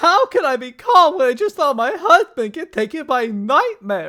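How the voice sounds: At a moderate pace, a cartoonish character voice, bright and sharp in tone, makes big pitch swings.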